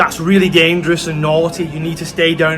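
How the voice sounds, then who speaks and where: A man's fairly high, monotone voice with flat intonation, audible room echo and noticeable background noise. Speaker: travel vlogger. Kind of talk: vlog walkthrough.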